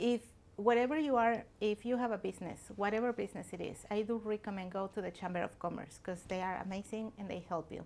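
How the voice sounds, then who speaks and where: A very fast woman's voice, medium in pitch, with ordinary pitch variation. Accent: Mexican. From Mexico. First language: Spanish. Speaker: restaurant owner. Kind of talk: interview. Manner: earnest.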